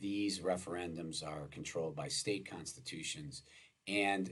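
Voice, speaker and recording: A man with an American accent speaks at a very deep, low pitch with vocal fry. Audible room echo surrounds his voice. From US Midwest (Wisconsin). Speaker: law professor. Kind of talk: lecture. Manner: halting, many filler words.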